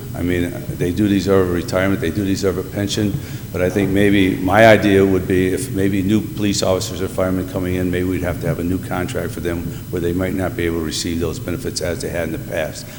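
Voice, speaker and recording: Delivered at a very fast pace with a northeastern Pennsylvania accent and fairly even intonation, the speech carries audible room echo and noticeable background noise. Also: man, very deep, low pitch for a man. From northeastern Pennsylvania, Scranton. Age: 60s. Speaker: retired teacher, mayoral applicant. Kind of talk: public interview. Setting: city council meeting. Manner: halting.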